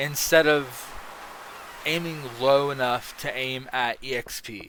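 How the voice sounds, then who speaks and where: Noticeable background noise sits behind a man speaking at a very slow pace and a fairly high pitch, his loudness swinging widely. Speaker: gaming streamer. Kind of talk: casual gaming rant on stream. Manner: hesitant, many fillers.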